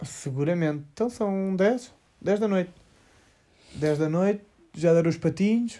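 A man with a European Portuguese accent, high-pitched yet dark and mellow in tone, fairly slow, with long, frequent pauses and very even loudness. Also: ordinary pitch variation. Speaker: podcast co-host, surfer. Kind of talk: casual chat. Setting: lying in bed at night.

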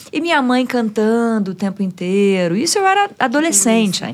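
At a moderate pace, a woman talks in an ordinary speaking voice pitched fairly high. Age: 50s. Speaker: music journalist and radio presenter. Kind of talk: casual chat.

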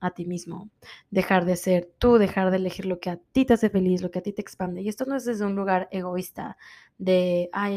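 A woman with a dark, mellow tone and medium pitch talks at a fairly quick pace with fairly even intonation, recorded very cleanly against a silent background. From Mexico. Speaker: podcast host, wellness coach. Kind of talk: motivational self-help talk.

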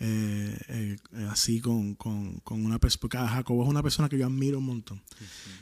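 A man with a Puerto Rican accent talks at a moderate pace and medium pitch. His intonation stays fairly even. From Puerto Rico. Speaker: worship singer and former pastor. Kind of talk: casual interview chat.

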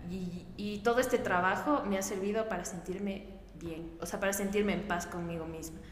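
A woman's fairly even intonation at a moderate pace, with noticeable background noise and audible room echo. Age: 20s. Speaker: team member. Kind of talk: casual group chat.

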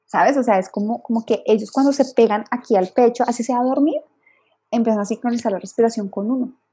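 In a Colombian accent, a woman speaks very fast at a fairly high pitch, her tone dark and mellow and her intonation fairly even. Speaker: lactation consultant. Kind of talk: interview.

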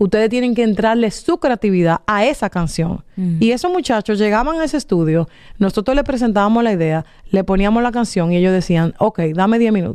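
Her voice is fairly high-pitched for a woman, with a dark, mellow tone and lively intonation. She talks at a fairly quick pace, her loudness very even. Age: 40s. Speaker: marketing executive. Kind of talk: interview.

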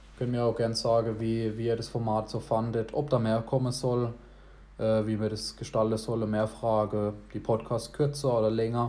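At a moderate pace, a man speaks in a monotone with flat intonation, his medium-pitched voice having a dark, mellow tone. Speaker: podcast host. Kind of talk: casual chat. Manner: talkative.

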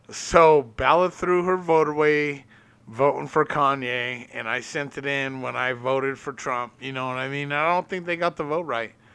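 A man's fairly high, bright, sharp voice at a moderate pace with fairly even intonation. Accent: American. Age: 30s. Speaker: podcast host, tile worker. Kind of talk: casual chat.

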